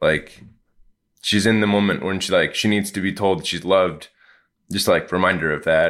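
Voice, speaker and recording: A man with a fairly low pitch speaks at a moderate pace, leaving long, frequent pauses. The recording is very clean, with a silent background. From United States. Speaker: missionary, new father. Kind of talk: casual interview.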